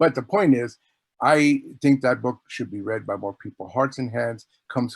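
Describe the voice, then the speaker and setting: An ordinary speaking voice at a moderate pace, with ordinary pitch variation and a dry, close sound with no echo. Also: man. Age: 60s. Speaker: author. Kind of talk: casual chat.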